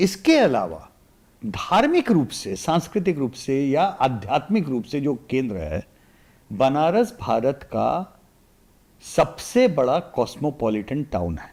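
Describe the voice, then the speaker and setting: A fairly high male voice with vocal fry, very wide pitch swings and big swings in loudness, on a very clean recording with a silent background. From India, Varanasi (Uttar Pradesh). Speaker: political analyst. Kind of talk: podcast interview. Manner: animated.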